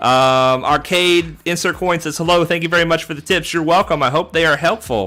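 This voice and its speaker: A loud man with a high pitch and a bright, sharp tone talks at a fairly quick pace with ordinary pitch variation and hardly any pauses. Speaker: gaming streamer. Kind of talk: live stream commentary. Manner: animated.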